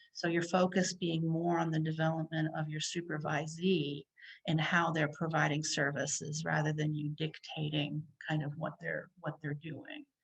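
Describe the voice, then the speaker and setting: A woman speaks over a quiet background, her voice very deep and low and somewhat breathy. Her intonation is monotone and flat, her pace moderate. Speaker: psychologist presenting a workshop. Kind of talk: lecture.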